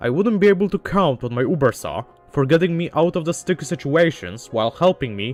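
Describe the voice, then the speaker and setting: Music plays in the background as a man speaks at a fairly quick pace. His voice sits at a fairly high pitch and swings very widely. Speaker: gaming video essayist. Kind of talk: video essay narration.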